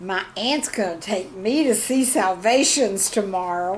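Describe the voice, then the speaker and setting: Amid noticeable background noise, a woman speaks at a fairly slow pace with very wide pitch swings. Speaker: retired teacher. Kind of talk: humor piece read aloud, storytelling about classroom life.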